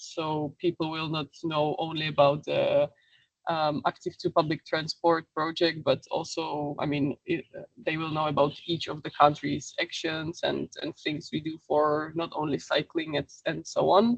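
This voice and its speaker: Speaking with a non-native accent, a woman uses a very deep, low pitch, monotone, flat intonation and a fairly slow pace. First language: not English. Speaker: webinar presenter on social media. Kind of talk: webinar presentation. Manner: halting, many fillers.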